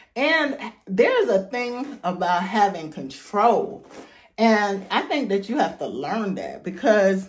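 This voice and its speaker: A woman speaks at a very slow pace with a medium pitch and lively intonation. Audible room echo surrounds her voice. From Jamaica. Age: 50s. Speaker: YouTube talk show host. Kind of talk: casual talk and hair tutorial. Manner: conversational, chatty.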